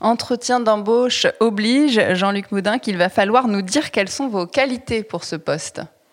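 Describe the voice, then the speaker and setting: In an ordinary speaking voice, a woman talks at a fairly high pitch and a moderate pace, with ordinary pitch variation and hardly any pauses. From Toulouse. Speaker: journalist, podcast host. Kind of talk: interview.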